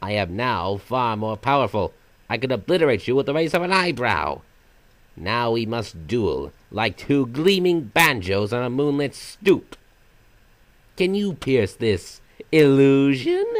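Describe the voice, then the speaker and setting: Put-on character voice from a man at medium pitch, fairly slow in pace. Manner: sometimes silly, sometimes sinister; theatrical, mocking, playful.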